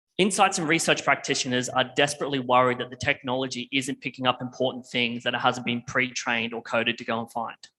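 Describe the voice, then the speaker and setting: In an Australian accent, the speaker rushes along at a very fast pace with hardly any pauses, a bright, sharp tone and ordinary pitch variation. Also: man, medium pitch for a man. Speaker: tech company presenter. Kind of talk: conference presentation.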